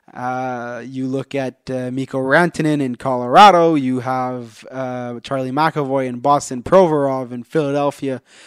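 A man talks at a moderate pace with hardly any pauses, his medium-pitched voice fairly even in intonation but with big swings in loudness. The sound is dry and close with no echo, a very clean recording on a silent background. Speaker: sports podcast host. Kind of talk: casual chat.

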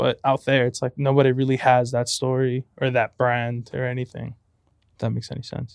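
A man speaks at a fairly quick pace with an American accent, his medium pitch held in a flat, monotone intonation. The sound is dry and close, with no echo. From Compton, California. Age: 20s. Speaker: photographer and college student. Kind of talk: casual interview chat.

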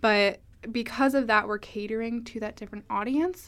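A woman's normal speaking voice with fairly even intonation. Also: very clean recording, silent background. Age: 20s. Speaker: student newspaper editor. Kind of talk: interview.

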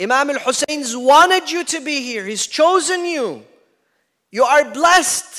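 A man speaks at a fairly slow pace in an extremely high pitch, his raised, projected voice animated and lively in intonation, with big swings in loudness. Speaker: Shia preacher. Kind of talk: sermon. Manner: animated, emphatic.

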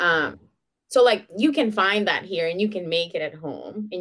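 On a very clean recording with a silent background, a woman speaks at a fairly slow pace and medium pitch in a Venezuelan accent. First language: Spanish. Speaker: podcaster. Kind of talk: casual interview. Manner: giggly.

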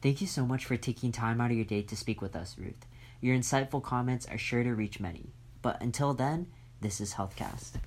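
A man's somewhat breathy voice moves along fairly quickly, its pitch varying in an ordinary way. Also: medium pitch for a man. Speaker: podcast interviewer. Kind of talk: interview.

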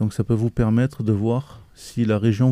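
A man speaks at a fairly slow pace with a fairly low pitch, a dark, mellow tone and monotone, flat intonation. The recording is very clean with a silent background and a dry, close sound with no echo. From southeastern France (Mistral region). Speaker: cartoonist and permaculture gardener. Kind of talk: interview. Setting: outdoors in a barn on a farm. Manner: halting.

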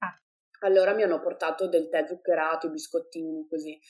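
This woman talks at a fairly quick pace. Her tone is dark and mellow, with fairly even intonation. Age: 20s. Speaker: mother sharing birth stories. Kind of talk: testimony.

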